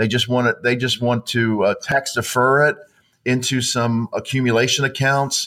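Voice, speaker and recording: In an ordinary speaking voice, a man of medium pitch talks at a moderate pace with fairly even intonation, in a very clean recording with a silent background. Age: 50s. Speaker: financial advisor. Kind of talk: casual interview chat.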